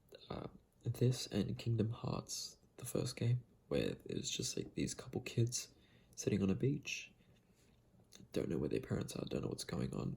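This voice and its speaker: Soft-spoken and relaxed in tone, a man talks at a fairly slow pace with long, frequent pauses. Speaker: video game fan and ASMR-style video creator. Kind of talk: casual talk to camera. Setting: late at night, quiet room. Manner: soft-spoken, relaxed.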